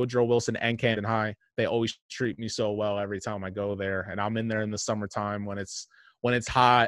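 A speaker with a New Jersey accent talks at a fairly quick pace. The sound is dry and close with no echo, on a very clean recording with a silent background. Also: man, fairly low pitch for a man. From New Jersey, Monmouth County. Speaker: sports journalist. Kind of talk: casual sports talk. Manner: animated storytelling.

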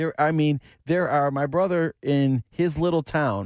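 In a very clean recording with a silent background and a dry, close sound with no echo, a man with an American accent speaks at a moderate pace in a fairly high pitch, a normal speaking voice with ordinary pitch variation. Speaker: sports reporter. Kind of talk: news reading.

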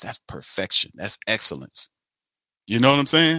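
Lively intonation and an animated, bright, sharp tone mark this man's speech. The recording is very clean with a silent background, and the sound is dry and close with no echo. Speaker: sports talk show host. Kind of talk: sports talk monologue with a rant. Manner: animated, fired-up; sarcastic, exasperated, loud.

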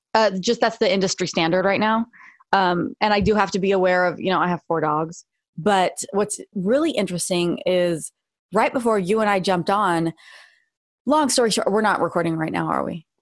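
At a moderate pace, a woman with an unremarkable speaking voice talks in a medium pitch with ordinary pitch variation, the sound dry and close with no echo on a very clean recording with a silent background. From Los Angeles area. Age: 40s. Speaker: jiu-jitsu and self-defense instructor. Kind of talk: casual chat.

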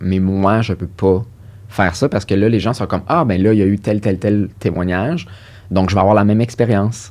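A man with a fairly low pitch speaks in a normal speaking voice. His pace is moderate and his pitch variation is ordinary. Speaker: sexologist and psychotherapist. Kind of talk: interview.

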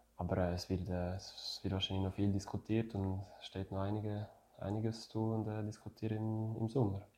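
In a French accent, a man speaks with a dark, mellow tone at a fairly low pitch. His intonation is monotone and flat, at a moderate pace. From French-speaking Switzerland, Neuchâtel. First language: French (speaking German). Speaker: retired ice hockey player. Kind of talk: interview. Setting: at home. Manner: halting.

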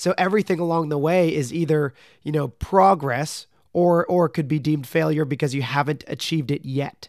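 A man with an unremarkable speaking voice, fairly high in pitch, talks at a moderate pace with ordinary pitch variation in a very clean recording with a silent background. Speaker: podcast host and professional athlete. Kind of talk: interview.

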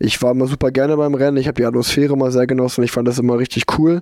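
Delivered at a very fast pace, the speech has monotone, flat intonation. The sound is dry and close, with no echo. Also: man. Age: 30s. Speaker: professional road cyclist. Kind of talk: casual interview chat. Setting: remote call from home.

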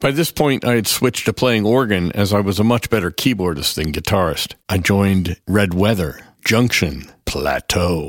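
An ordinary speaking voice, a man's with an American accent and fairly low pitch, moves at a moderate pace with lively intonation and hardly any pauses. His loudness stays very even, and the recording is very clean with a silent background. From US, small town. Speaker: film composer and musician. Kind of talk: scripted narration.

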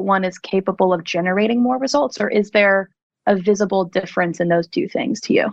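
With an American accent, a woman with a plain, everyday voice talks at a medium pitch and a fairly quick pace, showing ordinary pitch variation. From US Northeast, South Jersey. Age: young. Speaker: music publishing creative director. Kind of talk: casual interview.

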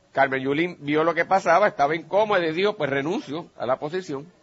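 A man's fairly high-pitched, unremarkable speaking voice with ordinary pitch variation. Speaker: radio host and lawyer. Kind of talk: radio political analysis. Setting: remote broadcast at a pharmacy.

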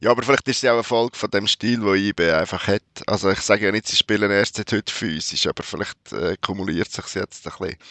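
A man speaks at a very fast pace. His pitch is fairly low, with ordinary variation. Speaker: football journalist. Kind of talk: casual chat.

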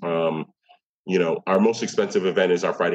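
Speaking at a fairly quick pace, a man has an American accent. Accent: New York, Nuyorican. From New York City (Bronx, East Harlem). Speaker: poet and arts administrator. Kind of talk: interview conversation.

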